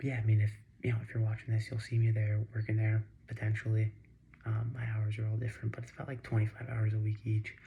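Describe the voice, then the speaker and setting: Quiet and somewhat breathy, a man speaks at a very fast pace with a fairly low pitch, a dark, mellow tone and monotone, flat intonation. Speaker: vlogger. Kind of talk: casual vlog monologue. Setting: home at night. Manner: halting, many fillers. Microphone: too quiet.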